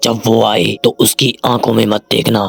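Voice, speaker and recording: In a put-on character voice, a man talks with a dry, close sound and no echo. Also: moderate pace. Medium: read story. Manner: cryptic, ominous.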